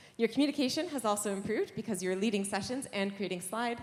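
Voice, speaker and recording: A woman with a Canadian accent speaks very fast at a fairly high pitch with ordinary pitch variation, over noticeable background noise. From Canada. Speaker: software engineer, conference speaker. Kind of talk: conference lightning talk. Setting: stage with audience.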